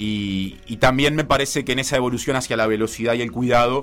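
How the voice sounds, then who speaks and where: A man with a Uruguayan accent at a medium pitch and moderate pace, fairly even in intonation, with music in the background. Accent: Uruguayan Rioplatense Spanish. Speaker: sports journalist and football commentator. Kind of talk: radio column, casual discussion.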